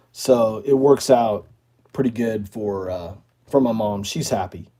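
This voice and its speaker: Speaking at a fairly slow pace, a man with a fairly low pitch and a dark, mellow tone shows ordinary pitch variation. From northern Maine. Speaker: outdoors YouTuber. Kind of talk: live stream chat reading viewer comments. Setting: live stream.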